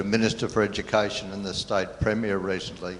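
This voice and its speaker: Over noticeable background noise, a man with an Australian accent speaks at a fairly quick pace. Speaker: conference audience member. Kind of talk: Q&A comment.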